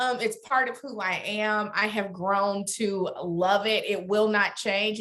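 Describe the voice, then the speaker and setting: At a medium pitch, a woman talks with a slight Alabama accent. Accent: Southern (Alabama), slight. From US South, Birmingham, Alabama. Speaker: corporate lawyer. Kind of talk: interview.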